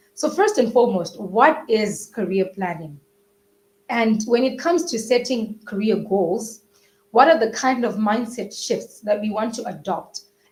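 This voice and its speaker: Somewhat breathy and fairly slow, a woman talks at a fairly high pitch with ordinary pitch variation. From Zimbabwe. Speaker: webinar host, co-founder of an education company. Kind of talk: live webinar interview. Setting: live online webinar. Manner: enthusiastic.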